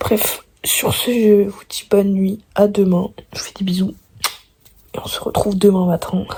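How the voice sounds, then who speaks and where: A woman speaks at medium pitch in a monotone, flat intonation, with big swings in loudness. Her pace is fairly slow, with long, frequent pauses. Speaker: student vlogger. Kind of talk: vlog.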